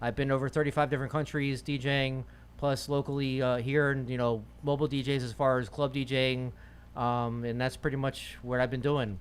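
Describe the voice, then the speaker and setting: Talking at a fairly quick pace, a man with an American accent keeps a medium pitch and monotone, flat intonation. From Virginia and Florida, US. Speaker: DJ. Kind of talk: casual interview.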